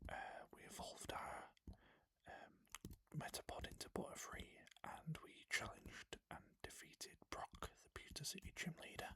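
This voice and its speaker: Someone whispers at a fairly slow pace. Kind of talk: soft-spoken ASMR gaming commentary. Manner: whispered, soft-spoken.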